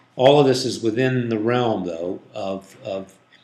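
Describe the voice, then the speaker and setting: A man of medium pitch speaks with ordinary pitch variation, and audible room echo fills the recording. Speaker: digital marketing agency owner. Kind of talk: tutorial. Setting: office conference room.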